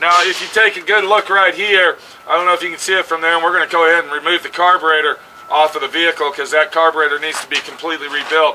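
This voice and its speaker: Light background noise sits behind a man who talks very fast in a high voice with fairly even intonation. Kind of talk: tutorial. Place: open country. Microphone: phone near.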